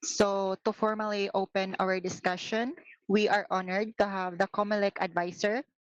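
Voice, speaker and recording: Moderate pace in a Visayan Filipino accent, with a dry, close sound and no echo. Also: woman. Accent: Filipino (Cebuano) English. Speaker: student emcee. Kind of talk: event hosting. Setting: online meeting.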